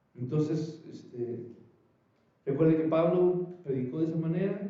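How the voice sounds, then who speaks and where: Audible room echo surrounds a man speaking at a fairly slow pace and fairly high pitch, with ordinary pitch variation. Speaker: preacher. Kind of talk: sermon.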